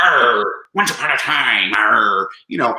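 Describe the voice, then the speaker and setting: Using a put-on character voice, a man talks at a fairly slow pace with a slight echo. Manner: exaggerated pirate.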